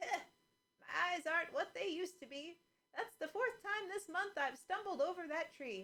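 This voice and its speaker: A squeaky, put-on character voice moves at a moderate pace. Its intonation is lively, with big swings in loudness. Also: woman, extremely high pitch for a woman. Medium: read story.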